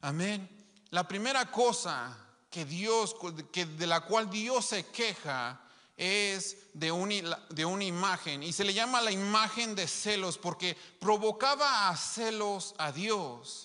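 A man projects a raised voice at a high pitch with lively intonation. He goes at a very slow pace against a quiet background. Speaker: preacher. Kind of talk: sermon. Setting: live stream to an online congregation. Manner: emphatic, repeating key phrases. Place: church. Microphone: handheld.

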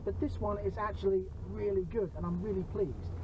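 A man talks fairly quickly. Noticeable background noise sits behind his voice. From UK. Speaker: car reviewer. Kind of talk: car review presentation. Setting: in a car in China. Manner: animated. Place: car. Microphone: phone near.

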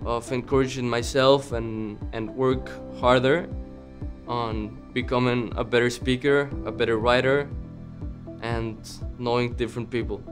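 With clear music in the background, a man with a Mexican accent talks at a fairly slow pace and medium pitch, his intonation fairly even and his pauses long and frequent. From Mexico City. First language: Spanish. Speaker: college student. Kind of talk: interview answer. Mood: calm, sincere. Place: classroom.

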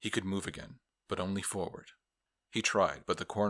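Behind a natural reading voice, the background stays quiet.

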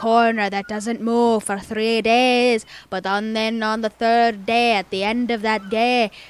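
An unforced reading voice carries the clip. The reading stays that way.

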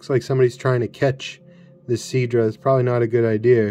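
A man talking with music in the background. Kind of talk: casual commentary. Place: home room.

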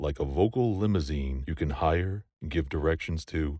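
Very deep, low male voice with an American accent at a moderate pace, dry with no echo, against a quiet background. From United States. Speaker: voice actor. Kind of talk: voice-over demo / promotional read. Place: booth. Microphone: studio mic.

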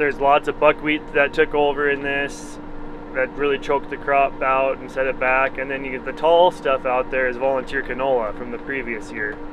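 The pace is moderate. There is noticeable background noise, and the sound is dry with no echo. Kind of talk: casual vlog commentary. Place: farm machine. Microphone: phone near.

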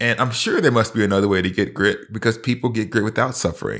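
In a very clean recording with a silent background, a man with an American accent talks fairly quickly in a normal speaking voice, his pitch fairly low with ordinary variation. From US South. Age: 40s. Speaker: professor and pastor. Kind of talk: casual chat.

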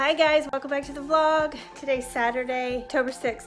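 A woman speaks in a high pitch at a moderate pace with ordinary pitch variation. Faint music plays in the background. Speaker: family vlogger. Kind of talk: casual vlog chat. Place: home room. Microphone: phone near.

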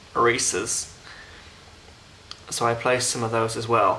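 This man has a British accent and a medium pitch. Noticeable background noise runs under his speech. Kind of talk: casual unboxing talk to camera.

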